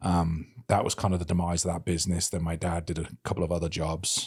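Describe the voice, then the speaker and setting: This man has a British accent and a very deep, low-pitched voice. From England, Birmingham. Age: 30s. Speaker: podcast host, interviewed as guest. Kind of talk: casual interview. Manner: mumbling.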